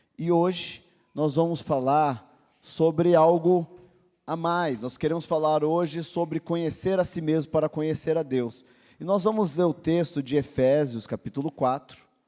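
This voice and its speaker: This man talks at a fairly slow pace with a dark, mellow tone, a fairly high pitch, and fairly even intonation, all on a very clean recording with a silent background. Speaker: pastor. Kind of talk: sermon.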